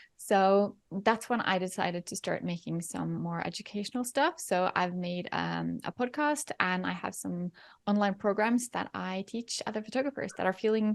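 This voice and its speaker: A woman with a Norwegian accent speaks at a medium pitch and a moderate pace. She uses ordinary pitch variation and hardly any pauses. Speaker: photography educator and mentor. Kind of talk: interview.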